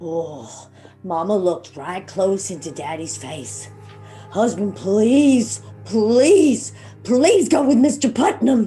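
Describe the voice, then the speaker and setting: Over clear background music, a woman does a put-on character voice at a medium pitch and a very slow pace. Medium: stage play.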